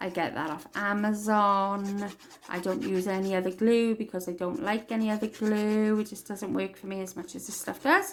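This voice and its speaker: A woman speaks with a Welsh accent. Her medium-pitched voice has fairly even intonation. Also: moderate pace. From Wales. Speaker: crafting tutorial maker. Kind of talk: tutorial.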